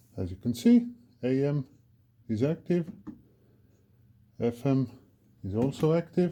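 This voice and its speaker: A man with a non-native accent speaks in a dark, mellow tone. His pitch swings very widely, and he takes long, frequent pauses. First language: not English. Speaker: electronics repair technician. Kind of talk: tutorial. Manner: halting, many fillers.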